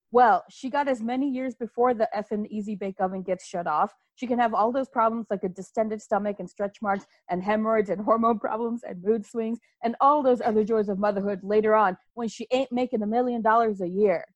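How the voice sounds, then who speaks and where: This woman has a normal speaking voice, fairly high in pitch, with ordinary pitch variation and a fairly quick pace. The sound is dry and close, with no echo. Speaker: podcast co-host.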